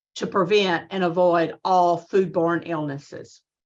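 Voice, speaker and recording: A woman speaks at a fairly slow pace with a Southern US accent. The background is quiet. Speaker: extension agent giving a lecture. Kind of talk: lecture with Q&A.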